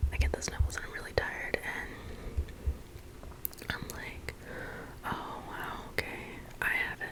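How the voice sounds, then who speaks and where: Whispering at a fairly slow pace, a woman leaves long, frequent pauses over noticeable background noise. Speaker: ASMR creator. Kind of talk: casual personal story to camera. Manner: whispered.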